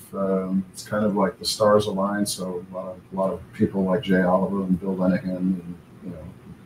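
The voice holds a monotone, flat intonation at a moderate pace, with audible room echo and light background noise. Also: man. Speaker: remote interview guest. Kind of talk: interview answer. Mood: relaxed, friendly. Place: home room.

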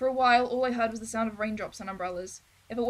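The speech is in a natural reading voice with ordinary pitch variation.

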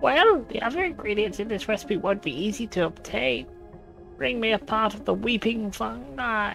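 A female-sounding voice puts on a character voice at a medium pitch and a moderate pace. Music plays clearly in the background.

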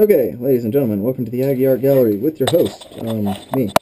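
The background stays quiet while a man talks. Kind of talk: joking mock tour-guide commentary. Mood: playful, joking. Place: tunnel cave. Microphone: helmet.

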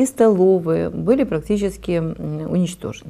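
Dark and mellow in tone, the voice keeps a moderate pace with lively intonation. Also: woman. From Odesa, Ukraine. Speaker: healthcare official. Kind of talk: TV panel discussion. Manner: formal. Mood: serious, earnest. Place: studio. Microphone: lapel.

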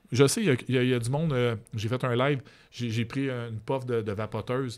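A man with a Quebec accent talks at a moderate pace with medium pitch and ordinary pitch variation, on a very clean recording with a silent background. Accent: Québécois French. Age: 40s. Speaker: social media personality. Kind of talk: casual interview.

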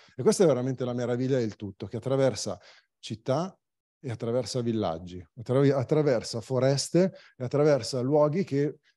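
A dark, mellow tone comes through at a fairly quick pace. The background is quiet. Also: man. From Varese province, northern Italy. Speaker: cycling magazine publisher. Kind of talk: presentation talk.

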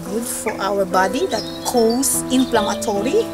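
A woman's voice in a dry sound with no echo, over loud background noise. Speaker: perfume reviewer. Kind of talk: product review to camera. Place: garden.

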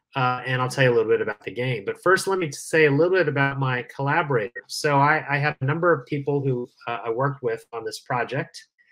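A man talking at a very fast pace with ordinary pitch variation, music playing in the background. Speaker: guest. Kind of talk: lecture. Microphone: video call.

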